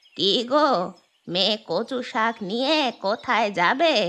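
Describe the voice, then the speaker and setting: A woman's cartoonish character voice, fairly high-pitched, with lively intonation and a fairly slow pace. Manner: blunt, nosy.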